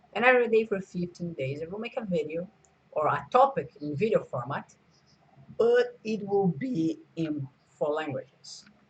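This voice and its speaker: Lively in intonation, a man with a Portuguese accent speaks at a high pitch. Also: moderate pace. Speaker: video creator. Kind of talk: casual vlog talk. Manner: halting, many fillers.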